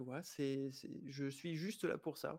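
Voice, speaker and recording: In a very clean recording with a silent background, a man speaks fairly slowly with a fairly high pitch. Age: 30s. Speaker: life coach. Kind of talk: interview. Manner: halting.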